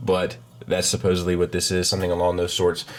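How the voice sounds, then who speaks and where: The voice belongs to a man. It sits at a very deep, low pitch. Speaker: toy reviewer. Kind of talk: product review.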